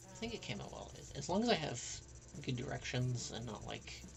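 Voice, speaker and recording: A soft-spoken voice at a moderate pace amid noticeable background noise. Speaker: artist streaming illustration work. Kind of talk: casual livestream chat while drawing.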